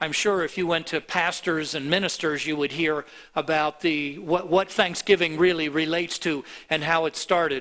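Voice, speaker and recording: A man with an American accent speaks in a bright, sharp tone at a high pitch, with ordinary pitch variation, on a very clean recording over a silent background. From US (Miami, Florida). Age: 70s. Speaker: pastor. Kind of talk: sermon. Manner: halting.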